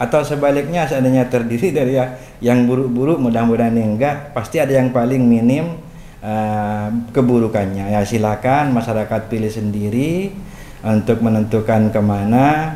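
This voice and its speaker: A man with a Madurese accent, audible room echo and noticeable background noise. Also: medium pitch for a man, ordinary pitch variation, moderate pace. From Madura, Indonesia. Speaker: Islamic cleric and local political figure. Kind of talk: interview.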